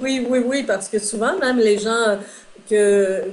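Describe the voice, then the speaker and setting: Against noticeable background noise, a woman talks at a fairly slow pace with fairly even intonation. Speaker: metaphysician and relationship consultant. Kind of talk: interview. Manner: hesitant fillers.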